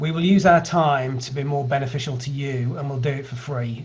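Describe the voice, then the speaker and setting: Over noticeable background noise, a man with a British accent talks at a fairly high pitch and a fairly quick pace. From UK. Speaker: healthcare data analytics company founder. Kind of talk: online meetup presentation.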